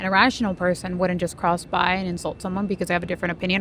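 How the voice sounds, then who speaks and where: A woman's very fast speech with a non-native accent over noticeable background noise. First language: not English. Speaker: debate team member. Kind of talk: heated debate. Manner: assertive, argumentative.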